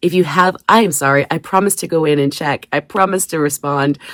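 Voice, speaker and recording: Using ordinary pitch variation, a woman talks at a fairly quick pace in a dry, close sound with no echo. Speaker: crafting YouTuber. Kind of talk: casual craft vlog. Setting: basement craft room. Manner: fast.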